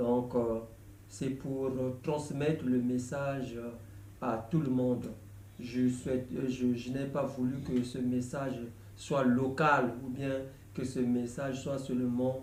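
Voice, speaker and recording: Speaking in a Congolese accent, a man at medium pitch goes at a very slow pace with monotone, flat intonation and long, frequent pauses, and audible room echo surrounds him. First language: Lari (speaking French). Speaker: gospel songwriter. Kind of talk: video announcement. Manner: halting, many hesitations.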